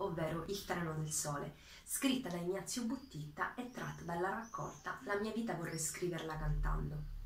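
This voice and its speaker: At a moderate pace, a woman with a fairly low pitch uses lively intonation, with light background noise and audible room echo. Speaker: PhD student. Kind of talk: introduction to a poem reading. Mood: calm, earnest. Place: home room.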